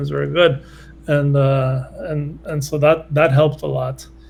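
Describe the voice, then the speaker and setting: Background noise is noticeable here. A man is talking. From Brazil, Rio de Janeiro. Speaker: research scientist. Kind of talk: interview.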